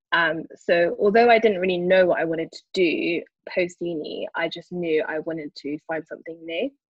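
With a South London accent, a woman speaks at a moderate pace. Her pitch variation is ordinary. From London, Brixton. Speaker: digital product owner in investment management. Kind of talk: podcast interview. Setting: remote call from Dubai.

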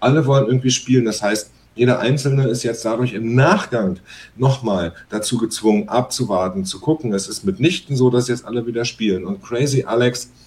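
This man's somewhat breathy voice moves along at a moderate pace. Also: medium pitch for a man, ordinary pitch variation. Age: 40s. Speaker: musician. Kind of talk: casual chat.

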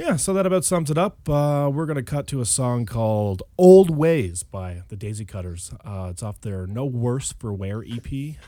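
A man's medium-pitched voice, dark and mellow in tone, with big swings in loudness, very wide pitch swings and a moderate pace. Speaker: podcast co-host. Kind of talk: casual chat. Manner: jokey, irreverent.

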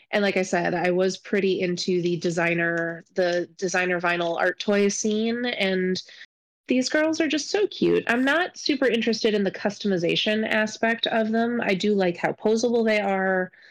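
Set against a quiet background, a woman speaks in a normal speaking voice at a medium pitch and moderate pace, with ordinary pitch variation and very even loudness. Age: 30s. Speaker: librarian and podcast co-host. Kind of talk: casual chat.

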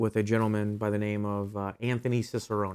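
A man's plain, everyday voice with an American accent, medium pitch and a fairly quick pace. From Ohio, US Midwest. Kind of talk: interview. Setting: studio.

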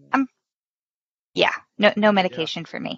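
A woman with an ordinary speaking voice, fairly high in pitch, with lively intonation. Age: 30s. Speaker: returning podcast guest. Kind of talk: casual interview chat.

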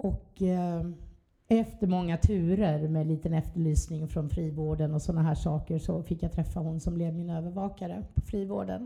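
Somewhat breathy and dark, mellow in tone, a woman's fairly low voice moves at a moderate pace with ordinary pitch variation. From Skåne, southern Sweden. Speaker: recovering addict sharing her story. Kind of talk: testimony.

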